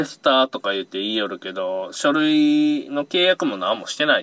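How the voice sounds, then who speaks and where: The speech moves at a moderate pace in a dry, close sound with no echo. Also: man. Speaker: fishing charter boat operator leaving a security job. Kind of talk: casual chat.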